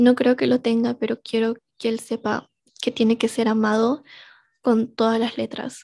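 A woman's fairly high voice at a fairly slow pace, over a quiet background. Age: 20s. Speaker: podcast host. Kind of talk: personal reflection monologue.

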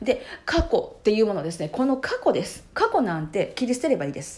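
Her pitch fairly high, a woman talks at a fairly quick pace in an animated tone. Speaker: podcast host. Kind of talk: solo monologue podcast. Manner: animated, frequent filler words.

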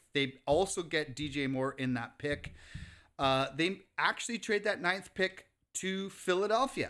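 High-pitched man with a bright, sharp tone at a fairly slow pace, on a very clean recording with a silent background. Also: lively intonation. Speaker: sports podcast co-host. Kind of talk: casual banter about football. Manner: casual, profane, opinionated.

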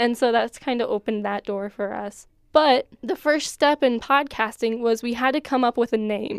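A woman with an American accent has an ordinary speaking voice, fairly high in pitch with ordinary pitch variation, at a moderate pace with hardly any pauses. The sound is dry and close with no echo, on a very clean recording with a silent background. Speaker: college student podcast host. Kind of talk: casual chat.

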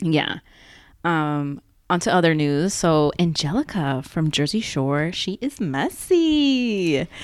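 In a very clean recording with a silent background, a woman with an American accent speaks very slowly at a fairly low pitch with lively intonation. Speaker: podcast co-host. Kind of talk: casual chat. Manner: casual, chatty.

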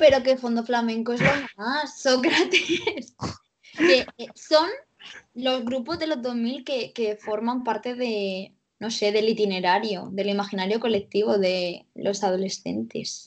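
A fairly high-pitched woman at a very slow pace. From Cartagena, Murcia, Spain. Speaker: journalist. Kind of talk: casual chat.

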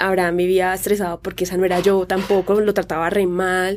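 A woman at medium pitch rushes along at a very fast pace in a monotone, flat intonation. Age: 30s. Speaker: fashion blogger and influencer. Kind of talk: casual chat.

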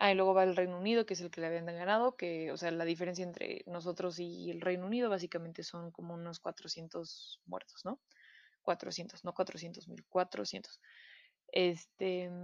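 At a moderate pace, a woman talks with a fairly low pitch. Her sound is dry and close with no echo. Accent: Mexican. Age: 20s. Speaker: podcast host. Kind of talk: casual chat. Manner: hesitant, frequent fillers.

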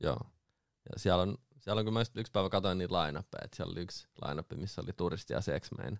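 Very deep and low in pitch with vocal fry, a man talks at a very fast pace in a dry, close sound with no echo on a very clean recording with a silent background. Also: ordinary pitch variation. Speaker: booking agent and DJ. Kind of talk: casual chat. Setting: studio.

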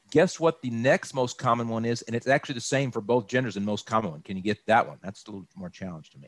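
Talking very fast with hardly any pauses, a man with an American accent has a medium pitch, lively intonation and big swings in loudness. The sound is dry and close, with no echo. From Texas, Austin. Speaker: insurance broker. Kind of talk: informational interview.

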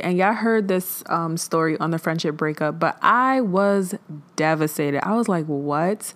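She has an ordinary speaking voice. This woman keeps a moderate pace with ordinary pitch variation. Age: 20s. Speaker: podcast host. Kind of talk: casual solo monologue on mental health. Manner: conversational, filler-heavy.

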